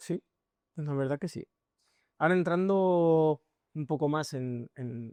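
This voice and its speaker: Very slow delivery broken by long, frequent pauses. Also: quiet background. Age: 20s. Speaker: podcast host. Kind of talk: podcast interview.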